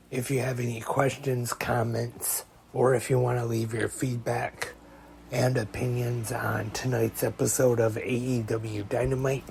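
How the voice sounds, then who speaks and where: Over noticeable background noise, a man talks at a fairly slow pace in a medium pitch with monotone, flat intonation. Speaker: wrestling podcast host. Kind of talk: podcast monologue.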